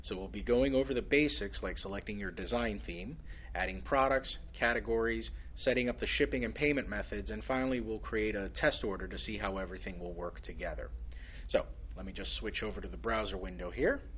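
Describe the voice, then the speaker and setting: Using vocal fry and a very deep, low pitch, a man talks at a fairly quick pace with very wide pitch swings, and audible room echo surrounds him. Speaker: software company staff presenting a webinar. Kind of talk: webinar tutorial. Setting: online webinar with screen sharing. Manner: fast.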